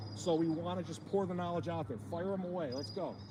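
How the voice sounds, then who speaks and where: A man with a high pitch talks at a fairly quick pace, swinging very widely in pitch. An audible room echo and noticeable background noise surround him. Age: 50s. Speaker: fishing channel host. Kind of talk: livestream Q&A. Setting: outdoors. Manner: fast; animated.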